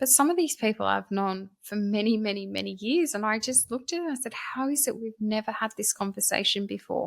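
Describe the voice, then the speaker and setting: On a very clean recording with a silent background, a woman with an Australian accent and a fairly high voice speaks at a fairly quick pace with lively intonation and hardly any pauses. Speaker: author and scam awareness speaker. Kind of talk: podcast interview.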